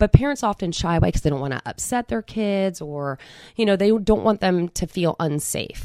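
A woman with an American accent and a plain, everyday voice speaks at a moderate pace and medium pitch with lively intonation, in a very clean recording with a silent background and a dry, close sound with no echo. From Philadelphia area, New Jersey side. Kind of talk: interview, personal testimony.

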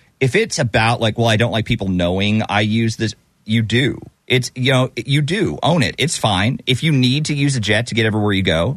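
A man at a medium pitch and fairly quick pace, very even loudness, ordinary pitch variation, quiet background. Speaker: radio host. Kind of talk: radio dj patter. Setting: studio. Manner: animated, bantering, quick, laughing.

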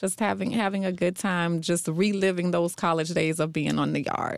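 A woman's fairly low, unremarkable speaking voice with an American accent, at a fairly quick pace. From North Carolina. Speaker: event executive director. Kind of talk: radio interview. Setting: radio studio.

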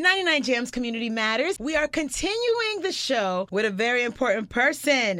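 Noticeable background noise sits behind a woman who speaks at a moderate pace with a high pitch, very wide pitch swings, and hardly any pauses. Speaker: radio host. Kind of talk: casual interview. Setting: studio.

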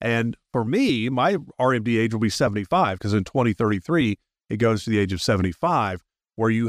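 A man in an ordinary speaking voice talks at a fairly quick pace with a fairly low pitch and ordinary pitch variation. The very clean recording has a silent background and a dry, close sound with no echo. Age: 60s. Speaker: radio host. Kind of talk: radio talk show interview. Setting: studio.

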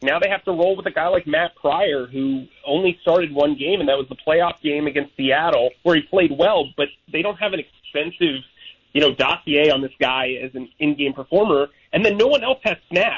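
A man talks at a moderate pace with a fairly high pitch. He has a normal speaking voice. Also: ordinary pitch variation. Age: 30s. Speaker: sports beat reporter. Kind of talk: radio interview.

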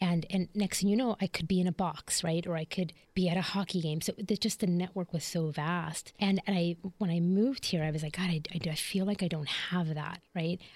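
With an American accent and an ordinary speaking voice, a woman talks at a fairly quick pace with hardly any pauses, a fairly low pitch and fairly even intonation. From US Midwest, Chicago. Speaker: leadership coach. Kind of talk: casual interview.

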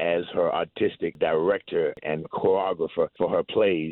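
Speaking in a low pitch with fairly even intonation, a man is heard in a dry, close sound with no echo.

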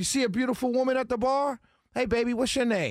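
A man talks at a very fast pace, his pitch extremely high. His tone is upbeat and animated. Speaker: radio talk show host. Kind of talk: live talk radio show, energetic banter with callers. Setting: radio studio, live broadcast. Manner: upbeat, chatty, animated, playful radio patter with quick teasing and shout-outs.

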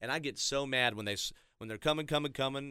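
In a very clean recording with a silent background, a man talks very fast in a bright, sharp tone. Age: 30s. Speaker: radio traffic reporter. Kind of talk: casual chat.

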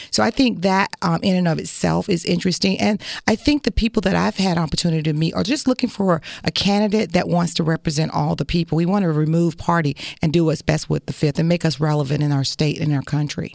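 Speaking very fast with an American accent, a woman keeps her loudness very even and her intonation lively, in a dry, close sound with no echo. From Northeast Florida (Jacksonville area). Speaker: congressional candidate. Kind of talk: radio interview. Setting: studio.

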